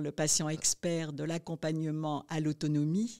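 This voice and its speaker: A woman's fairly low, dark, mellow voice at a fairly slow pace, on a very clean recording with a silent background. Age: 70s. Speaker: nurse educator. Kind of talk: interview. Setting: podcast interview.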